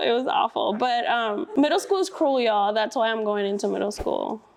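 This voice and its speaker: A woman speaks with a Spanish accent. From Brooklyn, New York. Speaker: school district staff, student teacher. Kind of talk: interview.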